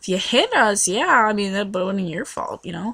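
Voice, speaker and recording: At a moderate pace, a woman talks in a somewhat breathy voice with an animated tone. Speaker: vlogger. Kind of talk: casual storytelling vlog. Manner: animated, lots of fillers.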